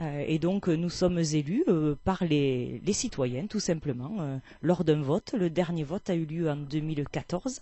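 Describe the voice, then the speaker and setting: A fairly low, somewhat breathy woman's voice at a fairly slow pace, with ordinary pitch variation. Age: 40s. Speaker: mayor. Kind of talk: interview. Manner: hesitant, many fillers.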